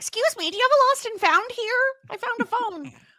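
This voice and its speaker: This put-on character voice sits at an extremely high pitch, in a Canadian accent that is part of the act. It moves at a fairly quick pace. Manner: polite, friendly.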